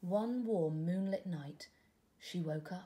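Slowly, a woman speaks in a fairly low, dark and mellow voice with ordinary pitch variation.

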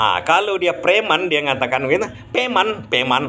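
This man speaks in a Minangkabau accent at a moderate pace, his pitch swinging very widely. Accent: Minangkabau-accented Indonesian. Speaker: vlogger explaining Minang dialects. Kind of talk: casual explanatory monologue. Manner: halting, with many fillers. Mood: cheerful, smiling, relaxed. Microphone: phone near.

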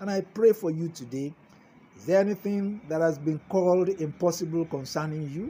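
High pitch in a man's speech, with ordinary pitch movement. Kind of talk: sermon. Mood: warm, encouraging, smiling. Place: garden. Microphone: phone near.

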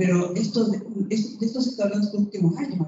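Amid audible room echo and noticeable background noise, a woman speaks at a fairly quick pace with ordinary pitch variation. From Chile. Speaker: landscape designer and former lecturer; panelist. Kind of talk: panel testimony. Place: hall.

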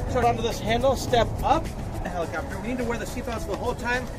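Music plays behind a man's voice. He talks at a very fast pace. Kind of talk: safety briefing. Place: street. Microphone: camera far.

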